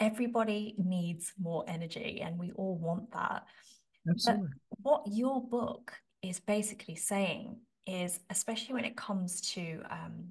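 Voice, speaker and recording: A woman's somewhat breathy voice at a moderate pace, with ordinary pitch variation, over a quiet background. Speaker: podcast host. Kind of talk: interview question. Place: home room. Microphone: studio mic.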